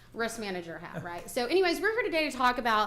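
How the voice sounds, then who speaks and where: Amid audible room echo, a woman speaks loudly in a high pitch. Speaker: benefits consultant. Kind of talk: presentation to county court. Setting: county courthouse meeting.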